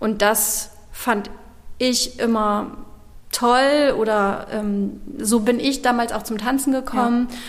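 The speech is very slow and delivered in a flat monotone. Noticeable background noise and audible room echo surround it. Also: woman, fairly high pitch for a woman. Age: 40s. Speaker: dance studio owner. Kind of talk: interview. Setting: dance studio, old factory hall.

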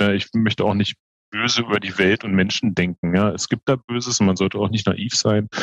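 In a dry, close sound with no echo, a man with a fairly low pitch talks at a moderate pace and with fairly even intonation. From Berlin, Germany. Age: 40s. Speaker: hospital group executive. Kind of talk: interview.

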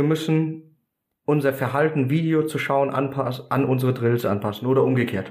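At a moderate pace and very even loudness, a man speaks with a fairly high pitch and ordinary pitch variation. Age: 30s. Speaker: American football coach. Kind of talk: podcast interview. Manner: carrying, audible across a field.

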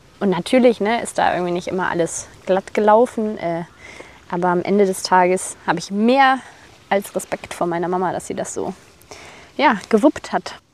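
Over noticeable background noise, a woman at medium pitch talks at a moderate pace with ordinary pitch variation and long, frequent pauses. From Germany, Rhineland (Bonn). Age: 20s. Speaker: personal trainer. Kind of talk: casual interview chat.

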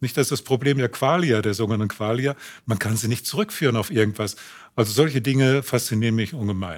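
A medium-pitched man talks very fast with ordinary pitch variation. The recording is very clean, with a silent background. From Germany, grew up in Unna (Westphalia). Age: 70s. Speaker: game inventor and professor. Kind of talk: interview.

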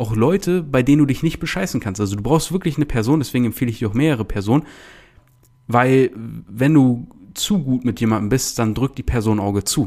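A man at medium pitch, with a dark, mellow tone, lively intonation and a fairly quick pace. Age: 20s. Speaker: podcast host and online business coach. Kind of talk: casual podcast monologue.

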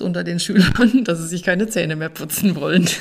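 With noticeable background noise behind her, a woman talks at a moderate pace in a fairly low pitch. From Hessian Rhön, Germany. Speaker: organic farmer. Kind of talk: podcast interview. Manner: hesitant with fillers.

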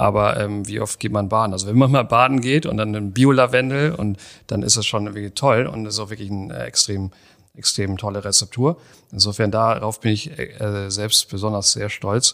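Recorded very cleanly over a silent background, a man talks at a moderate pace. His pitch sits fairly low and moves with ordinary variation. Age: 40s. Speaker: startup founder. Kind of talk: interview conversation. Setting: in person, same room. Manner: hesitant, many fillers.

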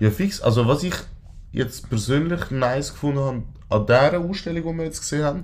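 Fairly high in pitch, a man talks at a fairly quick pace with ordinary pitch variation. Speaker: podcast co-host. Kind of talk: casual chat.

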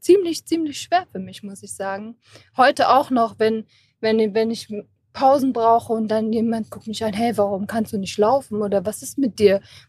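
A woman talks at a moderate speed, her fairly high voice somewhat breathy and her pitch varying in an ordinary way. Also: dry, close sound with no echo. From Germany, Kassel. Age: 20s. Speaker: patient with rare neuromuscular disease. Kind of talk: interview. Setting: recorded at an event.

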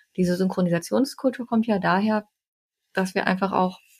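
Somewhat breathy, a woman talks very fast at a medium pitch with ordinary variation. The recording is very clean, its background silent. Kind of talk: casual chat.

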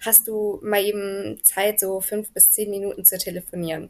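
A woman at a fairly slow pace, with monotone, flat intonation and a medium pitch. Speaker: American football coach and paramedic. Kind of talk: casual interview. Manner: calm, friendly.

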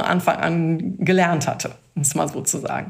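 A woman speaks at a moderate pace and fairly low pitch with fairly even intonation. Hers is an unremarkable speaking voice. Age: 50s. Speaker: IT specialist. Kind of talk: casual interview.

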